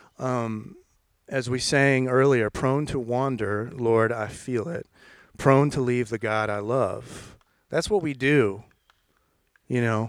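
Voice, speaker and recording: A man with a Memphis accent at medium pitch, very slow pace and long, frequent pauses, ordinary pitch variation, very clean recording with a silent background. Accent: Southern US (Memphis). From Memphis, Tennessee (US South). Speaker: church music leader. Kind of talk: testimony. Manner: halting.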